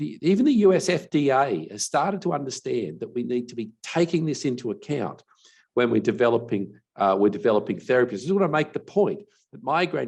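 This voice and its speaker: A man talks at a fairly quick pace with a fairly high pitch. His pitch swings very widely. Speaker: medical expert on migraine. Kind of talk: webinar presentation. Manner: halting, many restarts and fillers.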